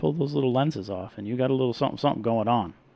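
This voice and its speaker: This man is soft-spoken. His pitch varies in an ordinary way. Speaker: reef hobbyist live streamer. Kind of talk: live stream chat and product review. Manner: casual, animated.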